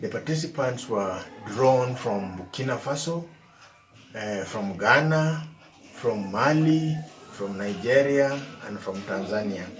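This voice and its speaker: With a Kenyan accent and lively intonation, a man of medium pitch speaks at a fairly slow pace with long, frequent pauses over noticeable background noise. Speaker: evaluator. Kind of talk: presentation to camera.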